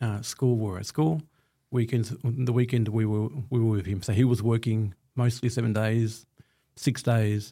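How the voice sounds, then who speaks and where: A man's dark, mellow voice at medium pitch, with an Australian accent, fairly even intonation and a moderate pace. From Australia, Melbourne (Footscray/Altona). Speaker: construction company director. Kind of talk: casual interview chat.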